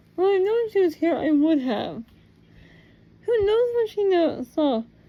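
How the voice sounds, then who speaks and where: Put-on character voice from a woman, pitched extremely high. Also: moderate pace. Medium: read story. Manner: harsh, menacing.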